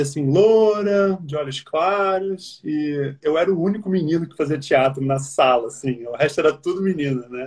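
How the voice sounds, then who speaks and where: The pace is moderate in a normal speaking voice. Pitch moves with ordinary variation. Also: man. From Brazil, Rio de Janeiro. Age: 30s. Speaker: actor. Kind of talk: interview.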